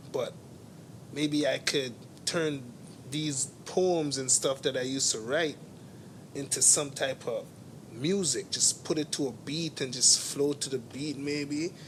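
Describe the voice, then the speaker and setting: Somewhat breathy, the voice holds a fairly even intonation and leaves long, frequent pauses. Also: man, fairly slow pace. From immigrant to Canada. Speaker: artist and entrepreneur. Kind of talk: casual interview. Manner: repetitive, halting.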